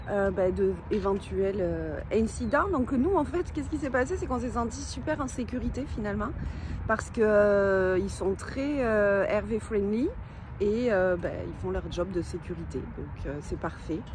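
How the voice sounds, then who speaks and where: A woman talks at a fairly slow pace, with audible room echo around her voice. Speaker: travel vlogger. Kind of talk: casual travel vlog narration.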